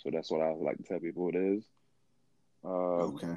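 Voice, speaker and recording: A man talks with an American accent. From Haiti and Miami, Florida. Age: 30s. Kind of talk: casual chat. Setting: online recording platform.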